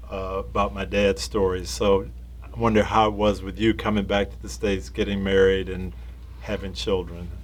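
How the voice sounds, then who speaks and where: A man with a very deep, low voice speaks while music plays in the background. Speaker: interviewer, former football coach. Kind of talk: interview questions.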